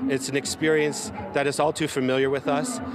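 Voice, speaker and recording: Over noticeable background noise, a man with fairly high pitch speaks at a moderate pace, the sound dry with no echo. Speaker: rally speaker. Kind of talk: rally speech. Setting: outdoor rally. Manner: earnest, passionate, declamatory. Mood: earnest, resolute. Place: street. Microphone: handheld.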